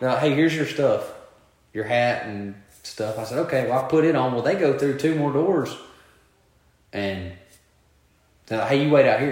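A man's fairly high-pitched voice at a moderate pace, with ordinary pitch variation, long and frequent pauses, and audible room echo. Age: 20s. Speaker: podcast co-host. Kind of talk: casual chat.

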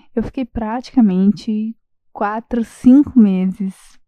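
At a fairly slow pace, a woman with a fairly high pitch and a dark, mellow tone speaks with fairly even intonation in a dry, close sound with no echo. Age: 20s. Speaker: architect. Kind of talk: recorded voice message.

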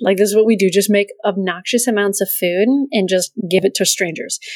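A woman speaks at a fairly quick pace with fairly even intonation and medium pitch, in an unremarkable speaking voice. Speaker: podcast co-host. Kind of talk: casual chat. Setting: video call.

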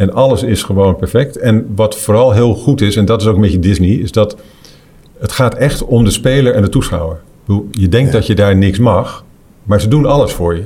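This man has a plain, everyday voice with fairly low pitch and ordinary pitch variation. He talks at a moderate pace with very even loudness. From Netherlands. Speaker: golf tournament director and commentator. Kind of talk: casual chat.

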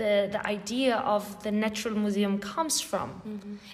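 A woman with a fairly high voice is heard with audible room echo and noticeable background noise. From southern Spain. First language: Spanish. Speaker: podcast host. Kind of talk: interview conversation. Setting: gallery, in person. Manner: halting, repetitive.

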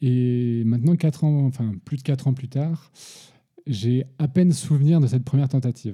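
A man's somewhat breathy, dark and mellow voice at medium pitch, with ordinary pitch variation and a moderate pace. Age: 30s. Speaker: father interviewed about parenthood. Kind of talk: casual interview. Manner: halting, many repetitions.

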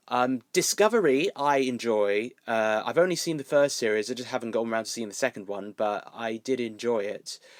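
Over a silent background in a very clean recording, a man with a southern English accent talks at a medium pitch with ordinary pitch variation. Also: dry, close sound with no echo. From southern England, Milton Keynes. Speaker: YouTuber and cosplayer. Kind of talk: casual chat.

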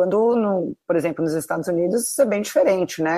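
A woman with an unremarkable speaking voice and lively intonation. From Brazil, São Paulo city. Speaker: tennis blogger, former finance worker. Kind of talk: casual interview.

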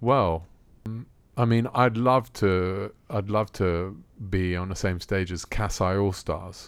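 On a very clean recording with a silent background, the speech moves at a very slow pace with ordinary pitch variation. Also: man, very deep, low pitch for a man. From Rome, Italy. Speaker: musician. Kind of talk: interview.

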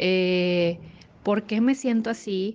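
A dark, mellow tone against a quiet background. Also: woman. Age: 30s. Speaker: psychologist. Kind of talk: recorded testimony.

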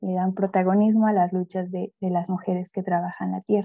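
A woman speaks with a Mexico City accent at a medium pitch, her tone dark and mellow. Her intonation stays monotone and flat, and the sound is dry and close with no echo. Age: young. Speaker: pedagogue and ecofeminist activist. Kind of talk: interview.

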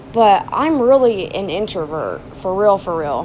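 Noticeable background noise surrounds a woman with a fairly high pitch. She speaks in an animated tone at a fairly slow pace. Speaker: vlogger. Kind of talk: casual monologue.

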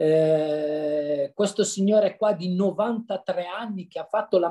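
Here a man has a high pitch and a dark, mellow tone. His pitch variation is ordinary. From Lombardy, northern Italy (Brianza). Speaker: amateur runner and massage therapist. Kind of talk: casual interview chat. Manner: cheerful, lively.

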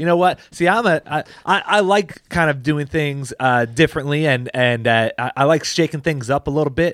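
Over a silent background in a very clean recording, the speech moves at a moderate pace with hardly any pauses and ordinary pitch variation. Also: man, fairly high pitch for a man. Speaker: pastor and podcast host. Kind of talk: casual chat. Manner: loud; halting.

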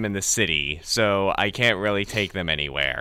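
With vocal fry in his bright, sharp tone, a man speaks at a moderate pace. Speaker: radio host. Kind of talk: casual radio banter. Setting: studio.

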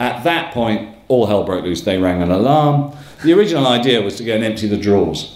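Medium-pitched male speech at a fairly quick pace, with lively intonation and noticeable background noise. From northern England, Northumberland. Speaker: storyteller, show host. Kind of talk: live storytelling. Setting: stage with audience.

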